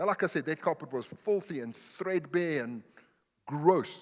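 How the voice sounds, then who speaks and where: With a non-native accent, a man talks at a fairly slow pace using lively intonation. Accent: noticeable foreign. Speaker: pastor. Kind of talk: sermon. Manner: animated.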